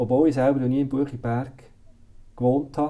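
His medium-pitched voice has a dark, mellow tone and fairly even intonation. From Switzerland, Solothurn (Bucheggberg roots). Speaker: director of a care institution. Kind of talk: interview. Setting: office. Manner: hesitant, many fillers.

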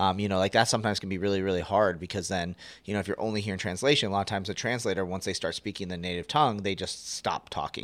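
Very fast, nearly pause-free speech from a man at fairly low pitch, with fairly even intonation, on a very clean recording with a silent background. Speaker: event management company owner, podcast host. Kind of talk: casual chat.

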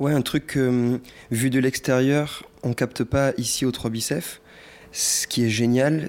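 Fairly even intonation shapes a man's very slow delivery. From Provence, France (Cavaillon). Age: young. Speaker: artist in residence. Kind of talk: documentary interview.

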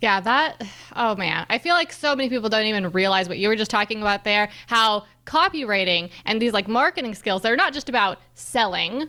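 A woman's plain, everyday voice, fairly high in pitch, with lively intonation at a fairly quick pace. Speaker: podcast host. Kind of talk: casual interview chat.

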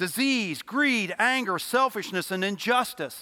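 A man with a high-pitched, bright, sharp voice projects loudly at a moderate pace. His intonation is lively. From Louisville, Kentucky. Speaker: lay preacher. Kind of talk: sermon. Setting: church.

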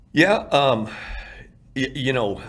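A man is speaking. He has a Texan accent. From Texas, Irving. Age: 50s. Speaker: former coach, addiction recovery nonprofit founder. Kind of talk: testimony.

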